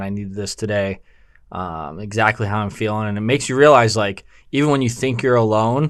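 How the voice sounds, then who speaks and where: Mumbling at a fairly quick pace, a man with a fairly low pitch shows ordinary pitch variation on a very clean recording with a silent background. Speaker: podcast co-host, clothing store owner. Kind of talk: casual chat. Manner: mumbling, slight stutter.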